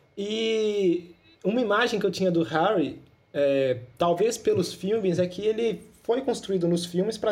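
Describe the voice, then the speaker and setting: A man talks fairly slowly in a high voice. His pitch varies in an ordinary way. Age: 20s. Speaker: podcast host. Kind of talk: casual chat.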